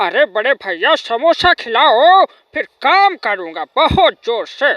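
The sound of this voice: The speaker uses a put-on character voice at a very slow pace. The pitch swings very widely. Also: man, extremely high pitch for a man.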